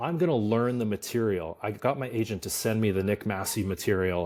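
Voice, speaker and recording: In a very clean recording with a silent background, a man speaks in an animated tone with ordinary pitch variation. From Canada, small country town. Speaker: musical theatre actor. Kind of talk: casual chat.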